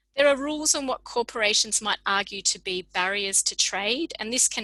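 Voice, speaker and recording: With an Australian accent and a bright, sharp tone, a woman talks at a moderate pace with ordinary pitch variation. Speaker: public health researcher. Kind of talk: lecture. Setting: video call.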